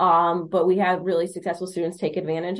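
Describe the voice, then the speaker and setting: This is a woman with an American accent. Her pitch is medium. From Michigan, Monroe County. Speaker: high school counselor. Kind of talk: podcast interview, explanatory.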